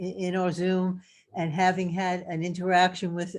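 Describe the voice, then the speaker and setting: A woman with a New York accent talks at a fairly slow pace and a medium pitch. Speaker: health coach. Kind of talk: casual testimony. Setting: video call. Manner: halting, many fillers.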